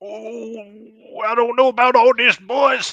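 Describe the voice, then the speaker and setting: The speaker uses a put-on character voice at a fairly high pitch and a fairly slow pace. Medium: actual play. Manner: gruff, stubborn.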